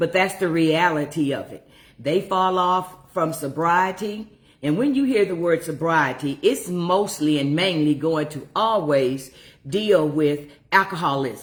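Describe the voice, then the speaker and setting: A woman speaks in an ordinary speaking voice. Her pitch is fairly low and her pace fairly slow. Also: ordinary pitch variation. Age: 60s. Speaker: recovery coach. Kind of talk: livestream monologue.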